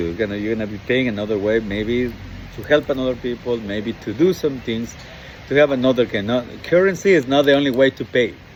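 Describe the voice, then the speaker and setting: There is noticeable background noise as a man talks at a fairly quick pace. His pitch is medium. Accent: Latin American. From Ecuador. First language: Spanish. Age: 60s. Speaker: dating coach. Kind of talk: motivational monologue. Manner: halting, many fillers.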